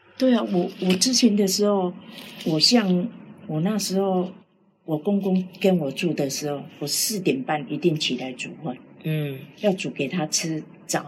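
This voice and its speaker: The speaker talks at a fairly slow pace, somewhat breathy, with lively intonation. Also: woman, medium pitch for a woman. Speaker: cancer patient. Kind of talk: interview.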